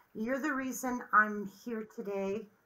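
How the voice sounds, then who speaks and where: A woman speaks in a normal speaking voice, pitched fairly high. Her intonation is fairly even and her pace fairly slow. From Colorado, US. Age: 60s. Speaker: interviewee sharing marriage story. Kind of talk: interview.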